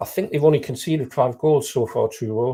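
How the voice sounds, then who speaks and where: This man has an English accent. He speaks at a fairly quick pace. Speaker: non-league football pundit. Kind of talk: live football discussion. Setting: live broadcast.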